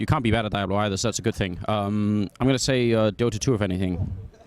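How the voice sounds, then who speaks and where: The speaker has a British accent and talks at a very fast pace. Pitch varies an ordinary amount. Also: man. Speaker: esports caster. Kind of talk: casual interview. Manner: hesitant, many fillers.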